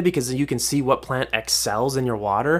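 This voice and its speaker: A man with a plain, everyday voice and an American accent, at a moderate pace with ordinary pitch variation, in a very clean recording with a silent background. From Minnesota, US. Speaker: podcast host, fish keeper. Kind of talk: casual solo podcast monologue. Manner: informal, chatty.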